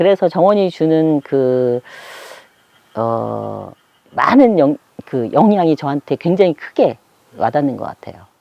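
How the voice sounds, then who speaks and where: A woman speaks in a very deep, low voice with lively intonation, big swings in loudness, and long, frequent pauses. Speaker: rural homeowner and gardener. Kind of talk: casual interview talk, garden tour. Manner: fast; animated.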